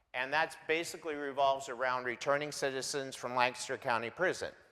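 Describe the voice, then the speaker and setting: Loud and fairly quick, a man talks in a bright, sharp tone at medium pitch with fairly even intonation. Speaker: homeless shelter staff member. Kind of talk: guest presentation in church.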